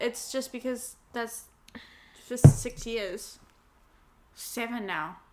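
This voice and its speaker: The voice has a dark, mellow tone with vocal fry and ordinary pitch variation. It moves at a very slow pace, with long, frequent pauses. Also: woman, fairly high pitch for a woman. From New Zealand, Wellington. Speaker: podcast co-host. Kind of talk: casual chat.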